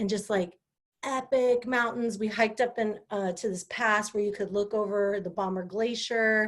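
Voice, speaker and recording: A woman speaks with a West Coast accent in an animated tone. The background is quiet. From California, Sierra Nevada. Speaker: live-stream host. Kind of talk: casual live-stream talk. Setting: Facebook live stream.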